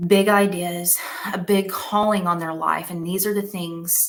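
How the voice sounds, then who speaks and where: Speaking at a moderate pace, a woman uses a fairly low pitch with vocal fry. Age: 30s. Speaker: conference speaker, business coach. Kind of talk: keynote talk. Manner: animated.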